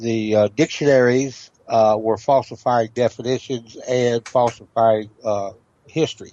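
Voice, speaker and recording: A man with a Southern US accent talks at a fairly slow pace and medium pitch. His intonation is fairly even and his loudness very even. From Tennessee. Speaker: historian and legal researcher. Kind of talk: interview. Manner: halting, many fillers.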